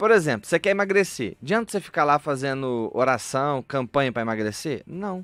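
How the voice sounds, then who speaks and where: Speaking with an interior São Paulo accent, a man has a fairly high pitch. He keeps a moderate pace with very wide pitch swings. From interior of São Paulo state, Brazil. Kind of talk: radio interview. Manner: playful, light.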